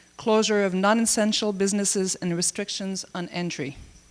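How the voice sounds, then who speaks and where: Using a French Canadian accent, a woman speaks at a moderate pace with ordinary pitch variation. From Canada. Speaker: government information official. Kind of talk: conference presentation.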